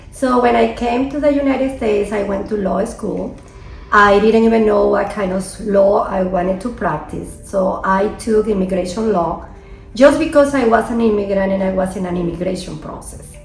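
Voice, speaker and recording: Music plays in the background and audible room echo surrounds the voice. A woman with a medium pitch speaks at a moderate pace with ordinary pitch variation. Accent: Venezuelan. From Venezuela. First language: Spanish. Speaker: immigration attorney. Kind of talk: interview.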